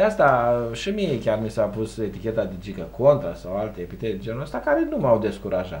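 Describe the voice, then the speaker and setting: A man at a fairly quick pace, with hardly any pauses. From Romania. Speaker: local councillor. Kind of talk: TV interview. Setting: TV studio. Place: studio.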